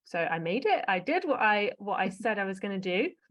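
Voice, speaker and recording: At a moderate pace, a woman with an English accent speaks at a medium pitch. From England, Essex. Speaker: emergency medicine doctor. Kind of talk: interview conversation. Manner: animated.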